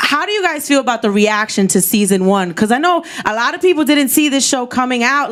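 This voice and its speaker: Noticeable background noise sits behind a woman talking at a very fast pace. Her pitch is high and her intonation lively. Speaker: interviewer and show host. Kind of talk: live stage interview. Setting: stage with audience.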